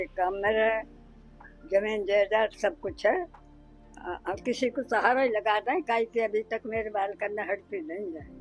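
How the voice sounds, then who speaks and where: Over music in the background, a woman talks at a fairly high pitch with ordinary pitch variation. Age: 80s+. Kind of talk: interview answer.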